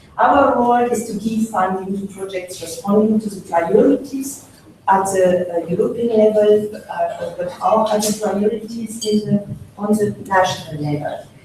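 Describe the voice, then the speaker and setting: A woman with a strong French accent speaks at a moderate pace and a fairly high pitch, with ordinary pitch variation. Noticeable background noise and audible room echo surround her voice. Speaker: funding agency official. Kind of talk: conference speech. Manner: halting, many fillers.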